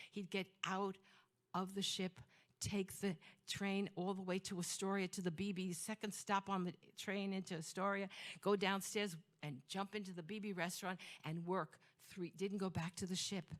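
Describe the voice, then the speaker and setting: A woman with a Brooklyn accent, animated in tone, at a moderate pace. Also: medium pitch for a woman. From Flatbush, Brooklyn, New York (born in Greece, emigrated at 2). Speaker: storyteller. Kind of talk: storytelling performance.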